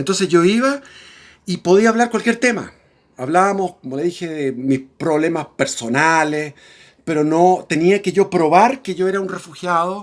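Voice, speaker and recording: Over a very clean recording with a silent background, a man talks at a moderate pace in a high pitch, his intonation lively. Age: 60s. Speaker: political commentator. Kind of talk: personal storytelling monologue. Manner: halting.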